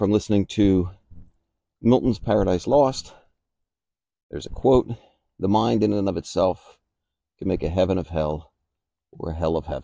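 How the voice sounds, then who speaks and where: Very deep and low, a man's voice has a dark, mellow tone at a moderate pace. He leaves long, frequent pauses against a quiet background. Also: dry sound with no echo. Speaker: motivational vlogger. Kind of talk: reflective motivational monologue. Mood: calm, reflective. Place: garden. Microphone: phone near.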